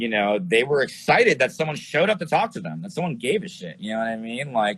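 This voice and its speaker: Someone with an American accent speaks at a very fast pace, the pitch swinging very widely. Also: man, fairly high pitch for a man. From New York City area. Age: 40s. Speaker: glass pipe maker and filmmaker. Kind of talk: casual interview. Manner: casual, filler-heavy.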